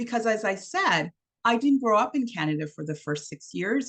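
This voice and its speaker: A woman talks at a fairly quick pace. Her voice has vocal fry. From Trinidad. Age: 50s. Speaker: diversity and inclusion trainer. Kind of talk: online workshop presentation.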